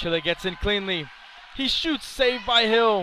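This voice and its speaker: A man's raised, projected voice over noticeable background noise. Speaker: hockey play-by-play commentator. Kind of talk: live sports commentary, play-by-play. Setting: rink stadium broadcast. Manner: rapid-fire, clipped play-by-play delivery.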